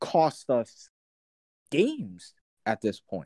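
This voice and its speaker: Very slow and dark, mellow in tone, a man speaks with a dry, close sound with no echo. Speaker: sports podcast co-host. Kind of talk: casual sports talk show banter.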